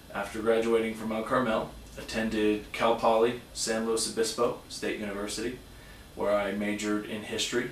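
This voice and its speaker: A man's fairly low, monotone voice with flat intonation, amid noticeable background noise and audible room echo. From Southern California (San Diego). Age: 30s. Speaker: high school teacher. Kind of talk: self-introduction video. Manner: hesitant, many fillers.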